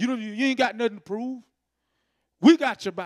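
In an animated tone, a man speaks against a quiet background. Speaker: preacher. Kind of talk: sermon, Bible study teaching with call-and-response "amen". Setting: church. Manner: animated, repetitive, preacherly cadence with frequent "amen". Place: church. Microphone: handheld.

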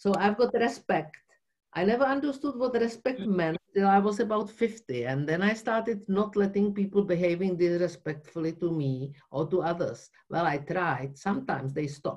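Against a quiet background, a woman with a Czech accent speaks at a moderate pace and medium pitch with lively intonation. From Czech Republic (Prague); Czech Republic. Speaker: workshop participant. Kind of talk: group discussion. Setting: video call. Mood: reflective, earnest. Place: home room. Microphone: video call.

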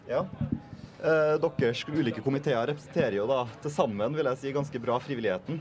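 A man with a fairly high voice and ordinary pitch variation talks at a fairly quick pace amid light background noise. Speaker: panel moderator. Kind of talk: panel moderation. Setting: on a sailing ship. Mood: warm, appreciative. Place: waterside. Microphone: handheld.

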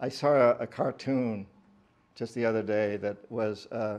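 Very slow speech from a man at medium pitch, with fairly even intonation. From New England. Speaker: author. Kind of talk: public talk. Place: shop. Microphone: podium.

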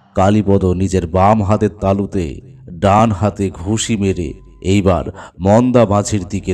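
Reading aloud in a natural voice, the speaker holds a fairly even intonation.

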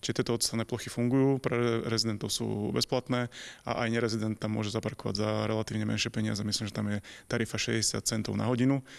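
This man talks at a very fast pace, his fairly low voice monotone and flat. The background is quiet. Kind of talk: interview answer. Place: meeting room. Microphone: handheld.

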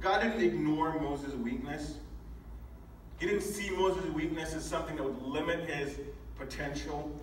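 Audible room echo surrounds a man speaking at a fairly slow pace, his pitch fairly high with ordinary pitch variation.

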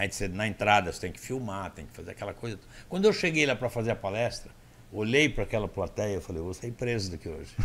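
Speaking at a very fast pace, a man has a fairly low voice. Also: lively intonation, big swings in loudness. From Brazil. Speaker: motivational speaker. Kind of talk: casual interview storytelling. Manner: animated. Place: studio. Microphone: studio mic.

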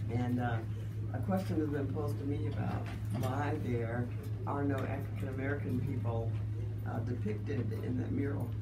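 A woman's speech with long, frequent pauses over loud background noise. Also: moderate pace. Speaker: local government official. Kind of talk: radio interview. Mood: warm, informative. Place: studio.

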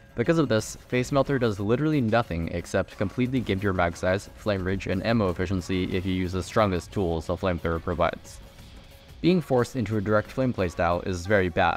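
A man talks at a very fast pace with a very deep, low pitch and lively intonation. Music plays in the background. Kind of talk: video game commentary.

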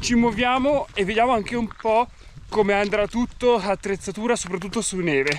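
A man speaks with a dry sound and no echo. Light background noise is present. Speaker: hiking vlogger. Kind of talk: casual vlog chat. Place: open country. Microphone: phone near.

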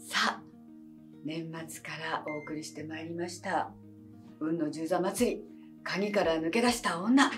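Clear music plays in the background as a woman speaks. Her pitch varies in an ordinary way. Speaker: actress. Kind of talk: casual talk to camera. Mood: warm, cheerful. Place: studio.

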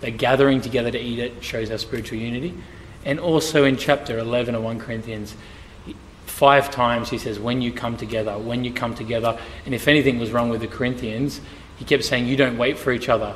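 A very fast man, fairly even in intonation, over light background noise. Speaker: church pastor on panel. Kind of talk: interview answer. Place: church.

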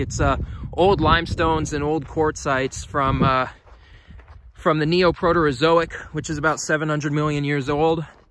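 At a moderate pace and with fairly even intonation, a man speaks in a dry sound with no echo, over noticeable background noise. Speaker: outdoor explorer vlogger. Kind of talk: casual vlog commentary. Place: open country. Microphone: phone near.

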